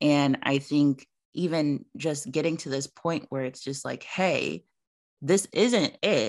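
Against a quiet background, a woman speaks very slowly in a very deep, low pitch with lively intonation. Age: 20s. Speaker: podcast host. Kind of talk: casual chat.

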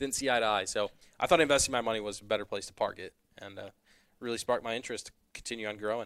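In an American accent, a man talks at a very fast pace with a medium pitch, fairly even intonation and big swings in loudness. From Northwest Indiana. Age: 20s. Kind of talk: casual chat.

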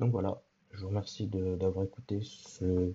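A man speaks at a very slow pace in a very deep, low voice. His delivery is somewhat breathy. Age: 20s. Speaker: podcast host. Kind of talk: solo podcast introduction. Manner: hesitant, many fillers.

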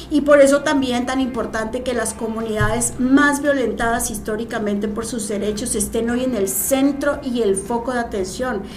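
A woman with a fairly high voice talks at a moderate pace, barely pausing and keeping her intonation fairly even. Background noise is noticeable, and the room echo is audible. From Mexico, Morelos. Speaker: senator. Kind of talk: casual interview.

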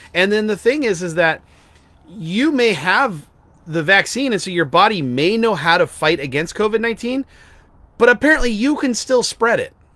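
At a moderate pace, a man uses a raised, projected voice that is high-pitched, with very wide pitch swings. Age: 40s. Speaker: podcast co-host. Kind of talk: casual chat. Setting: outdoors.

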